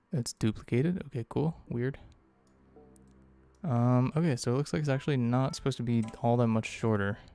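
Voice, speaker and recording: Music in the background beneath a medium-pitched man, fairly quick in pace with ordinary pitch variation and long, frequent pauses. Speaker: game developer streamer. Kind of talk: live coding stream, casual talk. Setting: live stream. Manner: halting, many fillers.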